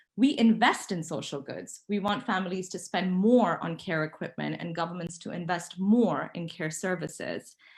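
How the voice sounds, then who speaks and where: A woman speaks at a fairly low pitch, somewhat breathy, at a moderate pace with hardly any pauses. Her pitch varies in an ordinary way while her loudness swings a lot. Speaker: panel speaker. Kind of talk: conference presentation.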